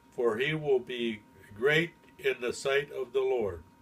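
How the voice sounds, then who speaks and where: A man at a very slow pace, somewhat breathy, with ordinary pitch variation. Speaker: grandfather. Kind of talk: Bible reading.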